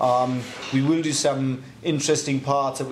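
Against light background noise, a man speaks at medium pitch in a German accent. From Germany. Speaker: motorsport tuning shop owner. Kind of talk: casual Q&A video. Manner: clear and not too fast. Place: workshop.

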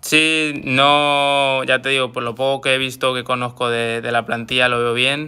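A man's medium-pitched voice, bright and sharp in tone, monotone and flat, at a fairly slow pace. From Madrid, Spain; Spain. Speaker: footballer. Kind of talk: live social media chat. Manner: repetitive filler words. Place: home room. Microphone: phone near.

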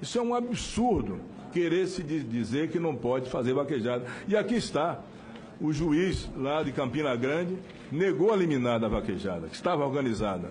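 A man with a fairly high pitch speaks at a moderate pace. His pitch swings very widely over light background noise. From Bahia, Brazil (sertão). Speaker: politician. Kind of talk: legislative speech. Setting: parliamentary hearing. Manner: formal. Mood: indignant. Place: meeting room. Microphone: podium.

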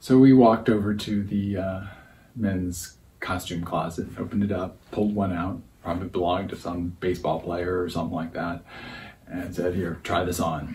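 Against noticeable background noise, a man speaks in a very deep, low pitch, somewhat breathy, with fairly even intonation. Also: moderate pace. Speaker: storyteller in a performance program. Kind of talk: personal story monologue. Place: home room.

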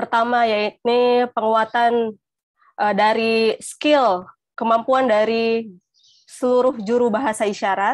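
Pitched fairly high, a woman talks at a very slow pace with fairly even intonation and very even loudness. The sound is dry with no echo, over a quiet background. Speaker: sign language interpreter; webinar presenter. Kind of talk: panel talk. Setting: video call. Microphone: earbuds.

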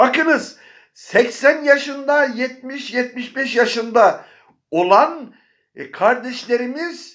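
The recording is very clean, with a silent background. A man speaks at an extremely high pitch. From Bayburt, northeastern Turkey. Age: 70s. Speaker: religious teacher. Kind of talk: religious talk. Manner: formal.

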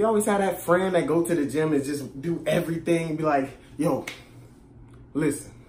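A man speaks at a moderate pace with a fairly high pitch and a slightly mellow tone. His pitch varies in an ordinary way, with audible room echo.

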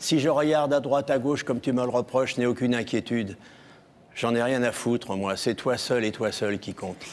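A man's medium-pitched voice, fairly quick, with fairly even intonation. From France, near Chartres; France. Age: 60s. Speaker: TV show guest; TV guest. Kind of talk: love declaration; personal storytelling. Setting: TV studio with audience. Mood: earnest, emotional. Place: stage. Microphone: lapel.

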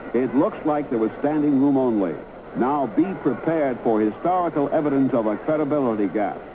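In a dramatic tone, a man with a fairly high pitch speaks at a moderate pace and very even loudness over noticeable background noise. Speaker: documentary narrator. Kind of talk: sports documentary narration, scripted voiceover over archive photos and film. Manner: brisk, dramatic, newsreel-style delivery with punchy emphasis on fight action; formal, authoritative storytelling.

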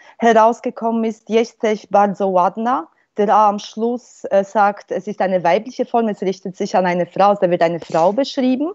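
A Polish accent over a quiet background. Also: woman, medium pitch for a woman, ordinary pitch variation, moderate pace. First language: Polish (speaking German). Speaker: linguistics professor. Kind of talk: panel discussion. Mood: calm, explanatory. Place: home room. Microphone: earbuds.

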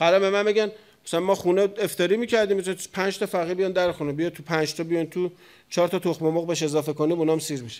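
Over a quiet background, a man talks at a very fast pace in a high pitch with an animated tone. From Iran, Tehran. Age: 40s. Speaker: cleric; cleric lecturer. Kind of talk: sermon. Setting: mosque pulpit with audience. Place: hall. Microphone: studio mic.

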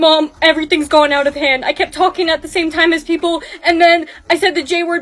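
Talking at a very fast pace, a woman speaks with an extremely high pitch. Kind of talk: acted skit dialogue. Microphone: phone near.

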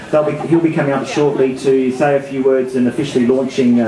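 Noticeable background noise runs under a man speaking at a fairly quick pace with fairly even intonation. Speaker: event host for a charity. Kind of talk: public speech welcome. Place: stage.

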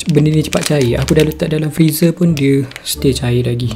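There is noticeable background noise as a man with a fairly high pitch talks at a moderate pace with ordinary pitch variation. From Malaysia. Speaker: food mukbang / ASMR content creator. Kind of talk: casual talk to camera, food review. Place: home room.

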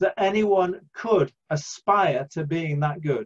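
A man talking at a very slow pace with lively intonation, against a quiet background. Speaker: church preacher. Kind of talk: sermon. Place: home room. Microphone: webcam.

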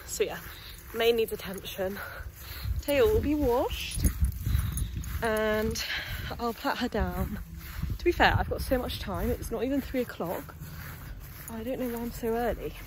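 The sound is dry with no echo, and noticeable background noise runs underneath. A woman talks at a moderate pace, leaving long, frequent pauses. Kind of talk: casual vlog chat. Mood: relaxed, cheerful. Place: open country. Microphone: phone near.

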